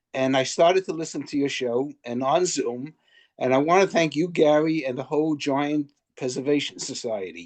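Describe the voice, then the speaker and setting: In a Brooklyn accent, the speaker keeps a moderate pace and ordinary pitch variation against a quiet background. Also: man, fairly high pitch for a man. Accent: New York, Brooklyn. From Brooklyn, New York. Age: 80s+. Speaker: listener, baseball fan. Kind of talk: casual remarks on video call. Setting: video call.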